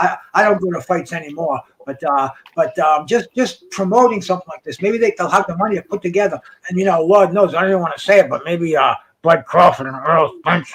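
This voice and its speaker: Here a man talks at a very fast pace. His pitch is high. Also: ordinary pitch variation. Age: 60s. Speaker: boxing podcast host. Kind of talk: casual chat. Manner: halting, repetitive.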